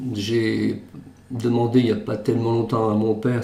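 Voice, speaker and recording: This man's voice is somewhat breathy, with a dark, mellow tone. He speaks at a fairly slow pace. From western France, Charente-Maritime. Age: 60s. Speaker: retired banker. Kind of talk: testimony.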